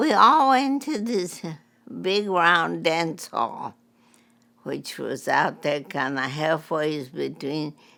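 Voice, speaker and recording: At a very slow pace, a woman speaks with a Texas accent. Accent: Southern US (Texas). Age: 90s. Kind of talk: interview answer.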